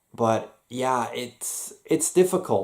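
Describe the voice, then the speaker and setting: With an American accent and a medium pitch, a man is heard on a very clean recording against a silent background. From Switzerland, raised American-style. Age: 30s. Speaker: vlogger. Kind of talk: personal vlog monologue. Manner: halting, many fillers and repetitions.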